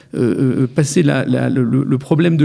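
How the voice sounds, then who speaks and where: A man's voice has a dark, mellow tone at a fairly high pitch. Vocal fry creeps into his speech. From France, Metz. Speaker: lawyer. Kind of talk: radio interview. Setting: studio.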